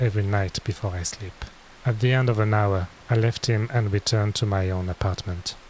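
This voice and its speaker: A man speaks with a French accent at a fairly slow pace. His pitch is fairly low and his intonation fairly even. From France. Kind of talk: bedtime story reading.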